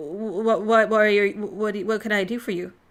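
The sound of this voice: Putting on a character voice, a woman growls at a medium pitch. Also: moderate pace.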